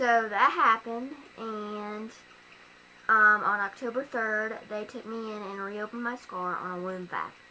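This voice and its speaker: A woman talks at a fairly slow pace in a fairly high pitch, with fairly even intonation. Her loudness swings widely against noticeable background noise. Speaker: vlogger sharing surgery recovery. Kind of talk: personal video diary. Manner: hesitant, many fillers.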